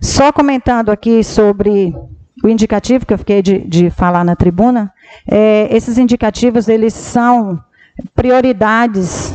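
A woman with an ordinary speaking voice talks at a fairly slow pace in a fairly high pitch, with ordinary pitch variation and very even loudness. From Brazil, Pará (Medicilândia). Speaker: city councillor, first secretary. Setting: council chamber.

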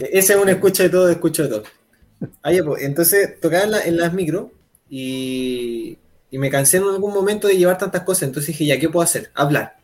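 A man with a high voice speaks at a fairly quick clip. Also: ordinary pitch variation. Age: 20s. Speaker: musician. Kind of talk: casual chat.

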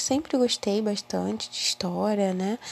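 A woman talks at a fairly slow pace, her voice dry and close with no echo. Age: 20s. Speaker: university student. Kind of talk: personal monologue.

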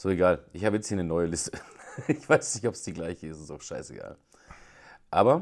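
A man with a very deep, low pitch and lively intonation, fairly quick, with long and frequent pauses. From Germany, Schweinfurt (Franconia). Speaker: podcast co-host. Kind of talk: casual chat.

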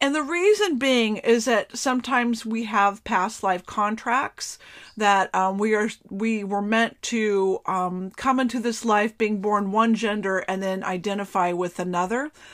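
In an American accent, a woman with an unremarkable speaking voice talks at a fairly slow pace with fairly high pitch and ordinary pitch variation. The recording is very clean, with a silent background. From US, Florida. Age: 50s. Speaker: psychic medium podcaster. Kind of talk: casual solo talk. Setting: bedroom of an RV used as a studio.

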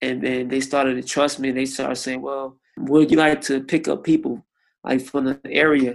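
A man with an American accent talks in a plain, everyday voice, fairly high-pitched, at a moderate pace. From Miami, Florida. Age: 30s. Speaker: churchgoer sharing faith testimony. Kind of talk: testimony.

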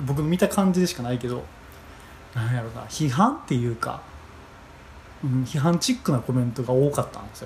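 Long, frequent pauses break up a man's fairly quick speech, and his loudness swings widely. His pitch is medium with ordinary variation. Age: 20s. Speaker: podcast host. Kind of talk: solo monologue. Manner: halting.

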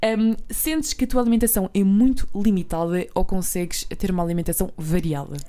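A woman's medium-pitched voice, dark and mellow in tone, at a fairly quick pace on a very clean recording with a silent background. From Portugal, Alentejo. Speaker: podcast co-host. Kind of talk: casual interview. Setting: studio.

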